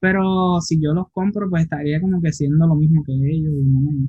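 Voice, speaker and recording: The speaker is a man. His pace is moderate. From Puerto Rico, Isabela. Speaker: underwater photographer. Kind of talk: casual interview.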